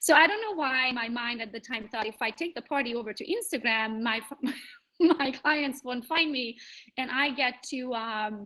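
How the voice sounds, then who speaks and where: Speaking at a moderate pace with a Hungarian accent, a woman has a high pitch and ordinary pitch variation. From Transylvania, Romania (Hungarian). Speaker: real estate agent. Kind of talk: conference panel talk.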